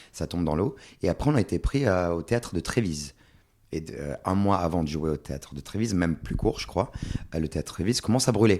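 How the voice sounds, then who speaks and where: Speech comes at a fairly quick pace. Its intonation is lively. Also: man, very deep, low pitch for a man. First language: Swedish (speaking French). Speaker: stage actor. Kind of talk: podcast interview.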